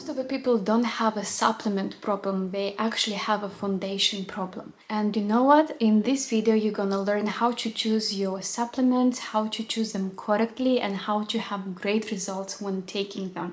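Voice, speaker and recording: With a non-native accent, a woman speaks at a moderate pace with hardly any pauses and a fairly high pitch. Her intonation is fairly even, and there is noticeable background noise. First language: not English. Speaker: nutritionist. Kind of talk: educational video monologue.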